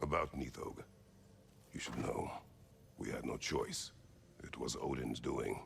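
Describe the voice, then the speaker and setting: Using a put-on character voice, a man talks at a moderate pace with long, frequent pauses against clear background noise. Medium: video game. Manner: terse, formal, no contractions.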